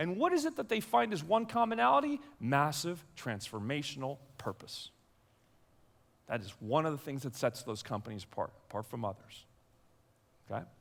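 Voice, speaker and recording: A man with an American accent, fairly quick and animated, with very wide pitch swings. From Belgium. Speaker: keynote speaker, leadership coach. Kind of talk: keynote speech. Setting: stage with audience.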